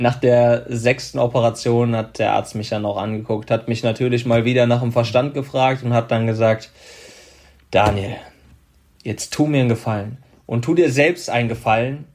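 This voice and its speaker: The speech moves at a fairly slow pace with long, frequent pauses. Its intonation is fairly even. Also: man. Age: 30s. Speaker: former pro footballer and motivational speaker. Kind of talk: interview.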